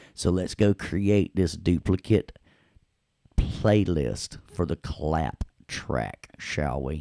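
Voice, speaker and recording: Very slow and very deep in pitch, a man speaks with vocal fry, a dark, mellow tone and ordinary pitch variation, the sound dry and close with no echo. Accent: Southern US. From US South, Tennessee. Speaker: audio production instructor. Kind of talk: tutorial. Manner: casual, playful.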